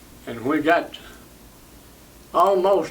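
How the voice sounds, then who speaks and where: Speaking very slowly in an East Tennessee accent, a man with a high-pitched voice is heard over noticeable background noise. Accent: East Tennessee Southern US. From Knoxville, Tennessee. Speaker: WWII Army veteran. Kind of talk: interview answer.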